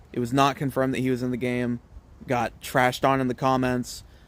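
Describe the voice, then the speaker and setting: Speaking very fast, a man with an American accent keeps to a medium pitch. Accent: Southern accent, toned down when streaming. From US South, Mississippi and Alabama. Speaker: college football streamer. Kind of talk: casual live stream chat.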